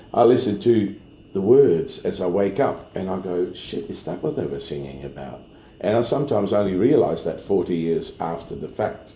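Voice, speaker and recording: With a dark, mellow tone and a somewhat breathy quality, a man speaks at a moderate pace in a fairly low pitch that swings very widely. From Netherlands. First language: Dutch. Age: 60s. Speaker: sound engineer. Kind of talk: casual chat.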